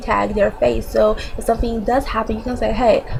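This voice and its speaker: A woman speaking at a fairly quick pace over noticeable background noise. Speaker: vlogger. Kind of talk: casual talk to camera. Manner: fast.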